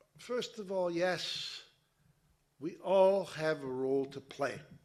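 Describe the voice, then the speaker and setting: A man at a very slow pace, ordinary pitch variation, audible room echo. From Montreal, Quebec. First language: Italian. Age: 60s. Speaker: interfaith organization president. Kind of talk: conference speech. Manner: some hesitations.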